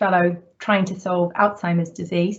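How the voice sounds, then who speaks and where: Her voice is somewhat breathy and medium in pitch. The woman keeps a moderate pace with fairly even intonation. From New Zealand. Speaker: university vice president. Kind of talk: online information session.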